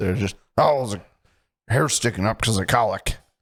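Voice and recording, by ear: A man's raspy, put-on character voice in a Midwestern accent, at medium pitch and a moderate pace. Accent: Midwest American.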